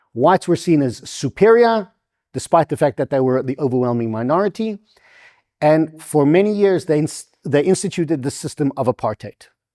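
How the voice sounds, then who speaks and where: A man with a South African accent talks at a moderate pace, his fairly high voice dark and mellow with lively intonation. The sound is dry and close, with no echo. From South Africa, Durban. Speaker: invited speaker on NGO funding. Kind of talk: public lecture with slides. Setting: stage with live audience.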